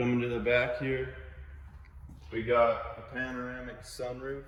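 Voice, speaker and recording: Audible room echo surrounds a man talking at a very slow pace in a monotone, flat intonation. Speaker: car salesman. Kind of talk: sales pitch.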